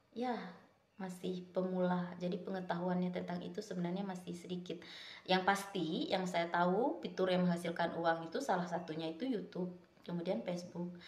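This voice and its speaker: Audible room echo surrounds a woman speaking at medium pitch with fairly even intonation. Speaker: vlogger. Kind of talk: casual chat. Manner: casual, halting.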